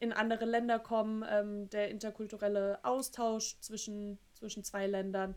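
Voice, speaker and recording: Her intonation is monotone and flat. The woman has a fairly high pitch and speaks at a fairly slow pace. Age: 30s. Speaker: podcast co-host. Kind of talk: casual chat.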